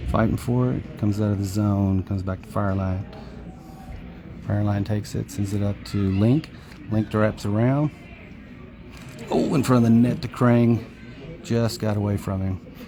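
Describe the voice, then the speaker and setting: Music plays in the background as a man talks. He is soft-spoken, with ordinary pitch variation. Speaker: parent doing amateur play-by-play. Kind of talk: live commentary. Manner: fast-paced play-by-play.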